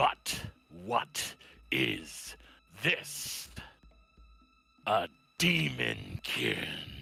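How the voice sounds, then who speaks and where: A man's put-on character voice, raspy and very deep, at a very slow pace with long, frequent pauses and faint music in the background. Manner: sharp, accusatory.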